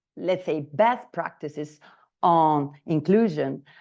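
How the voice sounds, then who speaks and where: Against a quiet background, a woman with an Italian accent speaks at a fairly low pitch and a fairly slow pace, with ordinary pitch variation. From Italy, Naples. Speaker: trainer. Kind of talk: online training session. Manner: halting, many fillers.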